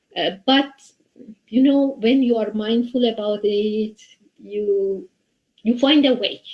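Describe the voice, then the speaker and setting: Speaking at a very slow pace with long, frequent pauses, a woman with a Persian accent uses a fairly high pitch and ordinary pitch variation. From Iran. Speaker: software developer and community volunteer. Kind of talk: interview. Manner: halting.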